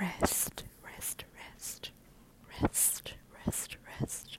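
Whispering, a woman speaks at a very slow pace. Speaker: ASMR podcaster and medical assistant. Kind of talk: ASMR whispering. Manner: whispering, soft-spoken; nervous.

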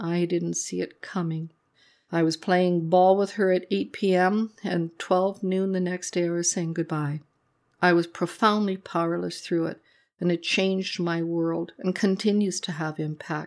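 Spoken in a normal speaking voice at a fairly slow pace with fairly even intonation, the clip is a very clean recording with a silent background. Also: woman, fairly low pitch for a woman. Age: 60s. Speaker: trauma therapist. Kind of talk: personal narrative monologue. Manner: reflective.

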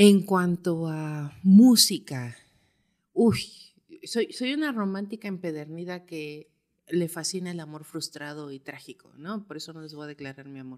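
Recorded very cleanly against a silent background, a woman talks in a normal speaking voice. Her pace is fairly slow and her pitch fairly low. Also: lively intonation, big swings in loudness. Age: 30s. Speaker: physical anthropologist. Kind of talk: casual chat.

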